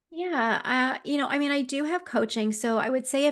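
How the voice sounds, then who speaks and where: A woman with a Canadian accent and a normal speaking voice. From Ontario, Canada. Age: 50s. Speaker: executive coach. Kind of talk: interview. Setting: live video stream.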